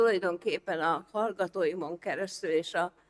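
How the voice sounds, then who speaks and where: The speech is fairly slow with fairly even intonation, and the sound is dry and close with no echo. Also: woman. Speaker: professor. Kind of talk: lecture. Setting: stage with audience. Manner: loud.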